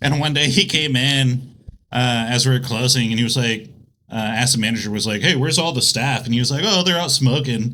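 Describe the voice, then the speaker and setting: At a fairly quick pace, a man of medium pitch speaks with ordinary pitch variation amid audible room echo. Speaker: restaurant worker. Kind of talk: casual chat.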